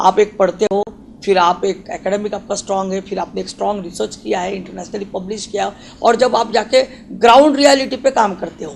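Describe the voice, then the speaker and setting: A high-pitched man with big swings in loudness over noticeable background noise. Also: ordinary pitch variation, moderate pace. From Maharashtra, India. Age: 40s. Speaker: doctor. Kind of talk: interview. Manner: halting, with fillers.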